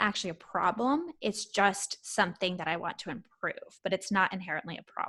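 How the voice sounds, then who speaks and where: At a fairly quick pace with hardly any pauses, a woman speaks at a medium pitch with ordinary pitch variation and a bright, sharp tone. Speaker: coach. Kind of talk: casual interview chat. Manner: direct.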